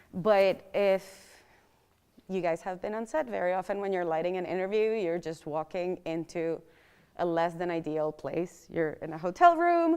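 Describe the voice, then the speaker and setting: Her voice is fairly low in pitch, with fairly even intonation, as a woman talks with a non-native accent. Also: moderate pace. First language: not English. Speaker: lighting workshop instructor. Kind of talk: workshop lecture.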